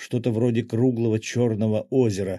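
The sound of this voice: Here is an unforced reading voice. It is heard in this clip.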